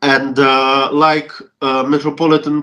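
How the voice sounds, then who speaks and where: Speaking at a very slow pace, a man talks with a Russian accent. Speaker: Orthodox deacon, church relations official. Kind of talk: interview, recounting memories. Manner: halting, many fillers and restarts.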